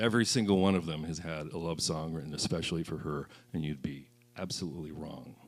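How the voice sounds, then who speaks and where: A man with a very deep, low voice talks very fast with ordinary pitch variation, and the room echo is audible. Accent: American. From US Midwest (central Illinois). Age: 60s. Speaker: singer-songwriter. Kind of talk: stage banter between songs. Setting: stage with audience.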